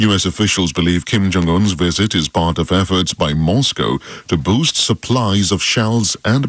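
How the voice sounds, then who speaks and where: A man's fairly low voice with vocal fry, at a moderate pace. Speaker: radio newsreader. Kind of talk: radio news bulletin read.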